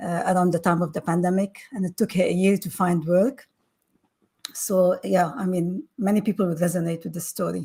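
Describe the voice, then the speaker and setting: Her tone dark, mellow and somewhat breathy, a woman speaks at a moderate pace. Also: medium pitch for a woman, ordinary pitch variation. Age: 60s. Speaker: panel guest. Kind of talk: panel discussion.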